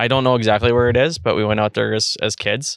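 A man with a Canadian accent at a very fast pace, fairly even intonation, on a very clean recording with a silent background. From Red Deer, Alberta, Canada. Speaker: podcast co-host. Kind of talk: casual chat. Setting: outdoors on a deck.

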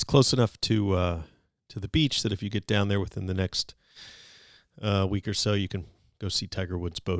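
On a very clean recording with a silent background and a dry, close sound with no echo, a man with an American accent speaks fairly quickly in a fairly low pitch with ordinary pitch variation. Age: 50s. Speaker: podcast host. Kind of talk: casual interview; scripted intro.

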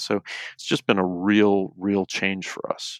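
At a fairly slow pace and fairly low pitch, a man speaks in a normal speaking voice, dry and close with no echo, on a very clean recording with a silent background. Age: 40s. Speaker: foster parent and youth trainer. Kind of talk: podcast interview.

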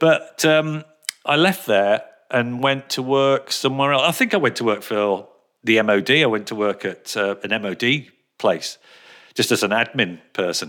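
A man's medium-pitched voice at a moderate pace, with a bright, sharp tone, lively intonation, and long, frequent pauses. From England, Birmingham. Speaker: radio presenter. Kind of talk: casual interview chat. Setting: video call.

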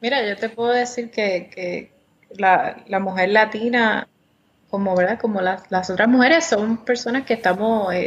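A woman speaks at a fairly slow pace in a normal speaking voice. Her pitch is fairly high, with ordinary variation. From Puerto Rico, Caguas. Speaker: congressional candidate. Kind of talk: interview.

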